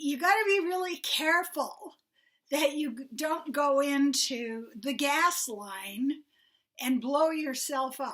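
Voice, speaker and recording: A woman speaks very slowly in a high voice with a bright, sharp tone. Her intonation is lively. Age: 70s. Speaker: mindfulness teacher. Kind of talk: mindfulness talk. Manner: conversational, with hesitations.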